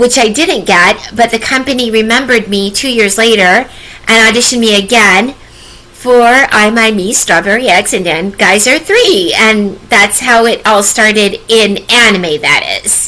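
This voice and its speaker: Amid noticeable background noise, a woman speaks at a fairly high pitch with ordinary pitch variation. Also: fairly slow pace. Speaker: voice actress. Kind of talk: interview. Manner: hesitant, many fillers. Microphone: echo.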